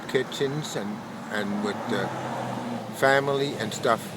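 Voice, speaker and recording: Over noticeable background noise, a man with a Danish accent speaks at a fairly slow pace and fairly high pitch, with ordinary pitch variation. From Denmark. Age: 60s. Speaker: homeless man. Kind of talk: interview testimony.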